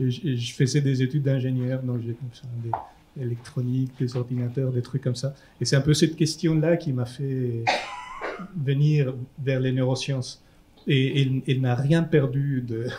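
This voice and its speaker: A man with a Chilean accent speaks at a fairly slow pace in a medium pitch with monotone, flat intonation, and noticeable noise runs in the background. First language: Spanish (speaking French). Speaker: neuroscientist. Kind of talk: panel discussion. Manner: halting, repetitive.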